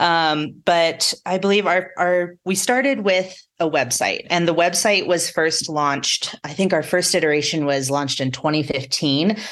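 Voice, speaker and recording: A woman with an unremarkable speaking voice, fairly low pitch, ordinary pitch variation, moderate pace, and hardly any pauses. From southeastern Colorado plains. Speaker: off-road navigation company representative. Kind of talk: casual interview.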